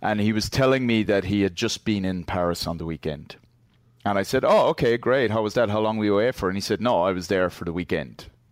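In a very clean recording with a silent background, a man with a fairly low pitch and ordinary pitch variation speaks at a very fast pace. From Ireland. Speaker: Twitter user. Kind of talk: casual chat. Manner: rambling, tangential.

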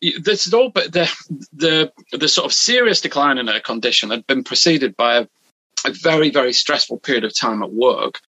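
This man speaks with a British accent at a fairly high pitch. His pitch swings very widely. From UK. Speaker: hypnotherapist. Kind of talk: interview. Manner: halting.

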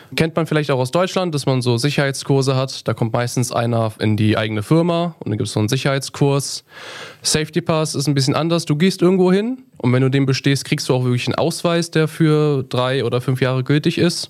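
A man with a normal speaking voice talks at a fairly quick pace and fairly high pitch, with ordinary pitch variation. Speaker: metalwork apprentice. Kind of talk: casual interview. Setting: studio.

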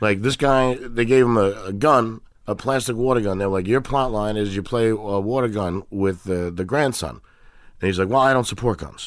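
Speaking at a moderate pace in an American accent, a man with a fairly low pitch and ordinary pitch variation comes through on a very clean recording with a silent background. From Queens, New York City. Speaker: comedian. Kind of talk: casual chat. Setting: garage studio.

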